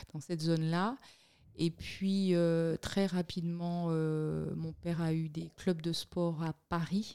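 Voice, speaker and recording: A woman's fairly low, dark, mellow voice, monotone and flat in intonation, at a very slow pace. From Guadeloupe. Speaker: communications entrepreneur and political show host. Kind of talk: interview.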